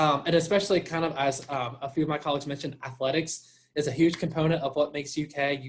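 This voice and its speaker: With an American accent, a man speaks at a fairly high pitch in a somewhat breathy voice. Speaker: college admissions representative. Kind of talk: informational presentation. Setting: video call.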